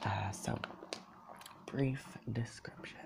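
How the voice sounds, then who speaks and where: A man is whispering. His pace is very slow. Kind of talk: ASMR soft-spoken talk to camera. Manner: soft-spoken.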